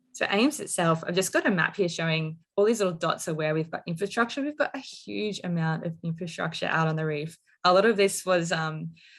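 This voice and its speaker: In an Australian accent, the speaker goes at a fairly quick pace with ordinary pitch variation. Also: woman. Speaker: marine engineer presenting research technology. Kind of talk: technical presentation. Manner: fast.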